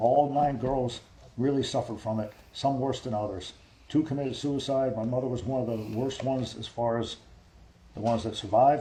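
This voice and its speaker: The speaker has an American accent and a dark, mellow, somewhat breathy tone, with ordinary pitch variation at a fairly quick pace. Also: man. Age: 50s. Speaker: army veteran. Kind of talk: interview. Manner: repetitive, halting.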